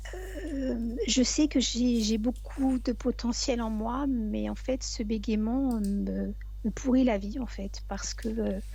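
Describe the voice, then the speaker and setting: A woman talks at a very slow pace, and audible room echo fills the recording. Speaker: hypnosis session client. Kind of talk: personal testimony. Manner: halting.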